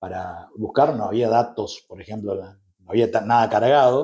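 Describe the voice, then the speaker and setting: A man talks at a moderate pace in a dark, mellow, somewhat breathy voice of medium pitch, with ordinary pitch variation. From Argentina, Misiones (Posadas and Andresito). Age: 40s. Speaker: journalist. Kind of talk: interview conversation. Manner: hesitant, frequent fillers.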